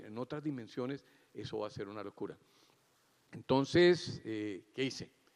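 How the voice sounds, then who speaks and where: A man talks at medium pitch with ordinary pitch variation. His pace is fairly slow. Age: 60s. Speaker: cardiac surgeon giving opening remarks. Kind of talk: conference keynote speech.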